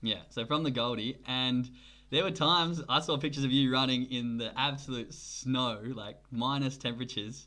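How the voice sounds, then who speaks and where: With an Australian accent, a man speaks at a moderate pace and medium pitch, his intonation fairly even. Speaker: podcast host. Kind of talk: interview.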